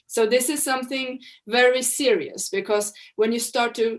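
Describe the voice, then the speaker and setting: A fairly slow pace with ordinary pitch variation. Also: woman. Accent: Swedish. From Sweden. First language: Swedish. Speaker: researcher on farming and trade. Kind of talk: presentation. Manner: halting, with restarts.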